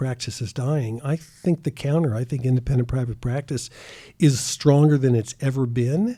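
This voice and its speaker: A man talks at a moderate pace with a fairly high pitch. His voice is somewhat breathy, with a dark, mellow tone. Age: 70s. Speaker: retired optometrist. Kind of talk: interview.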